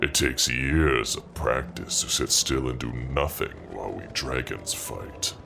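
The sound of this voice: A man's put-on character voice, extremely low and raspy with vocal fry, a bright, sharp tone, lively intonation and faint background noise. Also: fairly slow pace.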